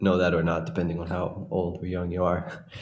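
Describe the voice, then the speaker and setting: Audible room echo fills the space. A man's voice rings out within it. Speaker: orchestral clarinetist. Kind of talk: casual chat.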